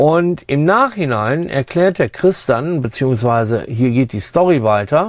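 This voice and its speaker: This man has a normal speaking voice at a fairly high pitch. He talks at a fairly slow pace with lively intonation. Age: 60s. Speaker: sound engineer, foley artist. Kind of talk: tutorial. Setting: studio. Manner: casual, with fillers.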